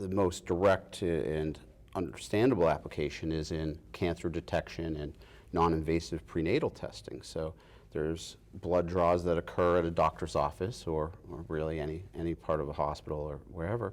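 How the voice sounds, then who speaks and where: A man speaks with a Boston accent in a very deep, low voice, at a moderate pace with ordinary pitch variation. The recording is very clean, with a silent background. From Massachusetts. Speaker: biotech company founder and president. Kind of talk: interview. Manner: hesitant, many fillers and restarts.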